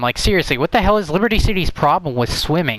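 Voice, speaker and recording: A man is speaking. Noticeable background noise runs under him. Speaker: gaming youtuber. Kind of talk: casual video commentary ranking games. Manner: halting, many fillers and restarts.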